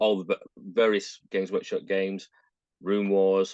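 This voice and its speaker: With a northern English accent, a man speaks at a moderate pace in a fairly low, dark, mellow voice with monotone, flat intonation, the sound dry and close with no echo. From northern England, Manchester. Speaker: miniature painter and gamer. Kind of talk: casual chat.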